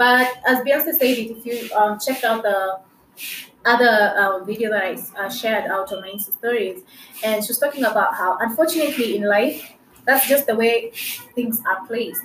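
This woman's pitch sits fairly high, with ordinary rises and falls at a moderate pace. Noticeable background noise runs under her voice. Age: 20s. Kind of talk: faith-sharing monologue.

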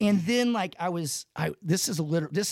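A man speaks at a high pitch with an animated tone and lively intonation. The recording is very clean, with a silent background. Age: 50s. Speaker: podcast co-host and trainer. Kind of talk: casual chat.

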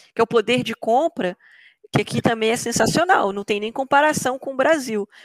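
A woman talks at a moderate pace and a fairly high pitch in a normal speaking voice. The sound is dry and close, with no echo. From Brazil, Belo Horizonte metro area. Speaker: software developer. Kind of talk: interview.

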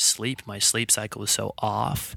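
The voice comes in an American accent on a very clean recording with a silent background. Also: man. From US Pacific Northwest (Bellingham, Washington). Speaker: chiropractor. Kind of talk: casual interview. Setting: studio.

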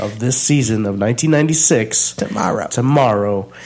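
This man has a medium-pitched voice. His pace is very slow. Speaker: music review podcast co-host. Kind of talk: casual chat. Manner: playful.

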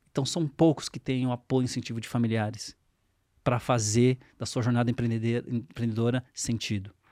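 Recorded dry and close with no echo, a man speaks at medium pitch and a moderate pace with fairly even intonation. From Brazil, São Paulo. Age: 40s. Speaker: fintech CEO. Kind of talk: interview. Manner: halting.

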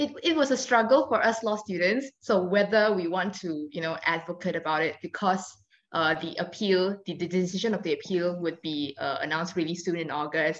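A woman speaks in a plain, everyday voice, fairly low in pitch. She talks fairly quickly with lively intonation. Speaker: law student podcast host. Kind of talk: interview.

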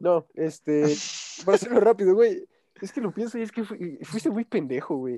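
Dry and close with no echo, a man's high voice moves at a moderate pace with lively intonation and big swings in loudness. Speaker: podcast host. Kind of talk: casual chat.

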